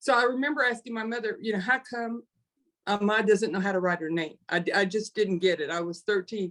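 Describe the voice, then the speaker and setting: In an ordinary speaking voice, a woman speaks fairly quickly at a medium pitch with ordinary pitch variation. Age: 60s. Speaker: panelist in nonprofit webinar. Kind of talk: panel discussion, personal story.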